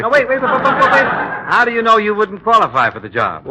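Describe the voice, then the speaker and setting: A man speaks very fast, his loudness swinging widely. There is noticeable noise behind him. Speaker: comedy sketch straight man, employer. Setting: radio comedy sketch.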